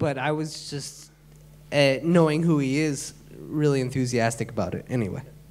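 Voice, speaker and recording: A man with an American accent speaks at a moderate pace in a fairly high pitch, with noticeable background noise and audible room echo. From Michigan, US. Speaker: music producer and DJ. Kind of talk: panel talk on stage. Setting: stage with audience.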